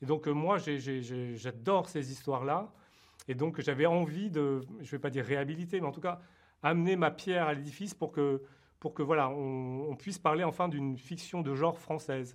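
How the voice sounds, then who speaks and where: A man talks at a moderate pace with a fairly high pitch. His pitch varies in an ordinary way against a quiet background. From France. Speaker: TV producer and screenwriter. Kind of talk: interview. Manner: halting, many repetitions and fillers.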